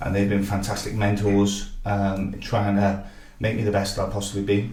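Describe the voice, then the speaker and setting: At a moderate pace, a man speaks with a fairly low pitch. Audible room echo surrounds his voice. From Wales (Barry), then Northern Ireland. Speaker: football technical director and coach. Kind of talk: interview. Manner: hesitant with fillers.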